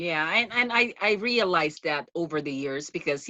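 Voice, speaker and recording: A woman's very deep, low voice with a Filipino accent, lively intonation and a moderate pace. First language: Tagalog. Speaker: podcast host. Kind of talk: interview.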